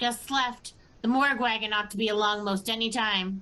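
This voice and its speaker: A woman uses a put-on character voice at a fairly high pitch. She talks at a moderate pace. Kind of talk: comic overacting. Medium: stage play.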